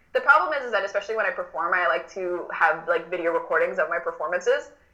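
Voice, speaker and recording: Noticeable background noise sits behind this recording. A woman with an American accent talks at a very fast pace. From Miami, Florida; Cuban American. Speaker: drag performer. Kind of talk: casual interview chat.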